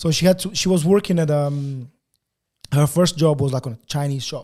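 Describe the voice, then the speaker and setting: At a fairly quick pace, a man speaks with a fairly high pitch, a dark, mellow tone, a somewhat breathy quality and ordinary pitch variation. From Portugal (Lisbon), born in Angola. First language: Portuguese. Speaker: photographer. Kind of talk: casual interview chat. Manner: halting, many fillers and repetitions.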